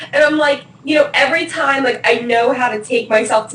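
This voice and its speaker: A woman with an American accent speaks at a moderate pace with ordinary pitch variation. Noticeable background noise can be heard. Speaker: interviewee on self-love campaign. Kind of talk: casual chat.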